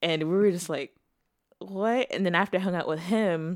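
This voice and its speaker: A woman with a plain, everyday voice talks at a moderate pace with ordinary pitch variation. The recording is very clean and the background silent. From Texas, born in Zimbabwe. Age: 20s. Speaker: newlywed wife. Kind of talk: casual chat.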